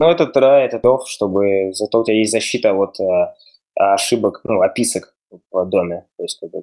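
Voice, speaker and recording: Speaking at a moderate pace, a man is recorded with a dry, close sound and no echo. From Russia. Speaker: software developer. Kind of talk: casual chat.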